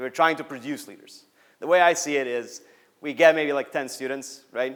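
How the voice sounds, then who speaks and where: Moderate-paced speech from a man, with ordinary pitch variation. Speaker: student organization coordinator. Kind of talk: Q&A; conference talk. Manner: loud.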